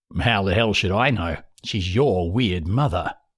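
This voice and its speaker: Using a put-on character voice, a man speaks at a moderate pace in a rumbling, raspy, fairly low pitch, on a very clean recording with a silent background. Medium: read story. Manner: grumbling, absent-minded.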